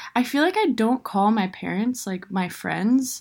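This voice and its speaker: Here is a normal speaking voice from a woman at a fairly high pitch. The recording is very clean, with a silent background. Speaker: friend of host, guest. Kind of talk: casual chat.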